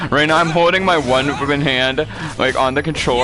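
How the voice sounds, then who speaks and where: With noticeable background noise behind him, a man speaks at a fairly quick pace with ordinary pitch variation. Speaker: game streamer. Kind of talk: live gaming stream. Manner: casual, animated.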